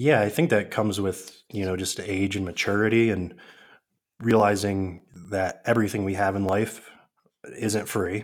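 Here is a man with a plain, everyday voice and an American accent. His pitch is fairly low, his pace moderate and his intonation fairly even. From northern New York State. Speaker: online seller and fitness trainer. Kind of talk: interview.

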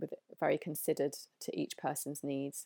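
With a southern English accent, a woman speaks at a moderate pace in a very deep, low pitch and monotone, flat intonation, captured in a very clean recording with a silent background. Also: dry, close sound with no echo. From England, London. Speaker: holistic female health expert. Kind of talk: interview.

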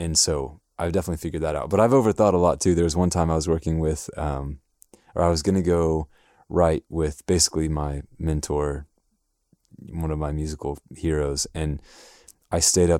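In a very clean recording with a silent background and a dry, close sound with no echo, a man speaks with a very deep, low pitch and a dark, mellow tone. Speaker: music producer. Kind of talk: casual interview chat.

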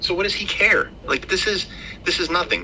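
A man talks at a moderate pace, with noticeable background noise in the recording. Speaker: podcast host. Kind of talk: casual chat. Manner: hesitant, rambling.

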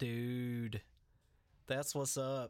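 Here is a man with a normal speaking voice. His pitch is medium and his intonation fairly even. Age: 30s. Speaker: podcast host and musician. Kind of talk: casual chat.

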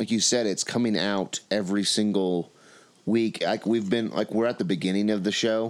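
The intonation is fairly even. The delivery is plain reading aloud.

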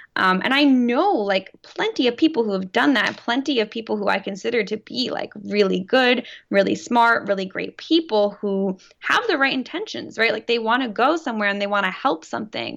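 A woman with an American accent talks at a fairly quick pace with hardly any pauses, using a plain, everyday voice that is fairly high in pitch and has lively intonation. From New Jersey. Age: 20s. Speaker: teacher and former student journalist. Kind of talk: casual interview.

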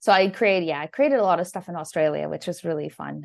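A woman with a Canadian accent speaks at a fairly low pitch with vocal fry. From Canada. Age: 30s. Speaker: landscape photographer. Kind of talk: casual chat.

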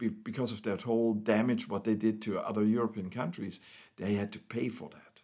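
A man speaks with a German accent on a very clean recording with a silent background. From East Germany. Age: 60s. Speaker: pastor. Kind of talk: testimony. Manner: halting.

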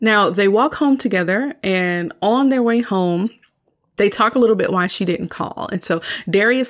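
A woman at medium pitch with an American accent, lively intonation and moderate pace, on a very clean recording with a silent background. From US South. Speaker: podcast host, media reviewer. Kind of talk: solo movie review. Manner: casual, animated.

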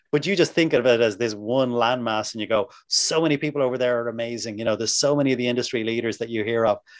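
A man with an Irish accent talks at a very fast pace with hardly any pauses. His pitch is medium, and it varies in an ordinary way. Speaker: massage therapy instructor. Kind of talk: interview. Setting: video call.

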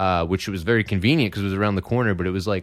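A very deep, low male voice with fairly even intonation on a very clean recording with a silent background. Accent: Philadelphia. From Philadelphia. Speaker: comedian. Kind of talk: casual chat. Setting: studio.

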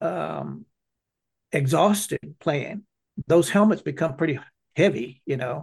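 A man's fairly high-pitched voice at a fairly slow pace. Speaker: foundation founder. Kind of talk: interview.

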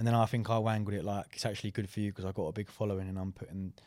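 A man with an English accent speaks very fast in a monotone, flat intonation at a fairly low pitch. His tone is dark and mellow, and the recording is very clean with a silent background. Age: 20s. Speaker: fitness coach and podcast co-host. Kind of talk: casual chat. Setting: studio.

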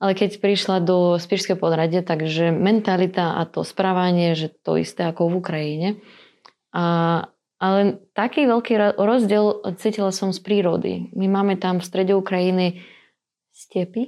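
A woman's medium-pitched, dark, mellow voice with fairly even intonation, a moderate pace and a quiet background. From Ukraine, Dnipropetrovsk. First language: Russian (speaking Slovak). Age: 20s. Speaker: teacher. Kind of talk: casual interview. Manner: halting, hesitant.

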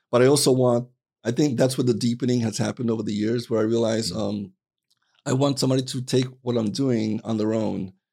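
Talking at a very fast pace in an American accent, a man with a dark, mellow tone keeps a medium pitch and fairly even intonation. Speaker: poet. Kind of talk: casual chat. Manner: halting.

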